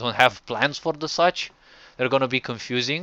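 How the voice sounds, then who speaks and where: A man speaks in a Romanian accent at a medium pitch. His intonation stays fairly even. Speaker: game developer streamer. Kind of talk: gameplay commentary. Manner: halting.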